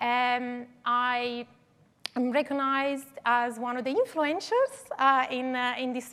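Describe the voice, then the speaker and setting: A woman with an Italian accent speaks at a high pitch with fairly even intonation. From Italy, Turin. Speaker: digital twin consultant. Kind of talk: conference talk. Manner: hesitant, many fillers.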